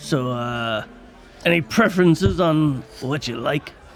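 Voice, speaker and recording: Over clear background music, a man puts on a gruff character voice at a fairly high pitch. He talks at a fairly slow pace. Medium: actual play. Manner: gruff, curt.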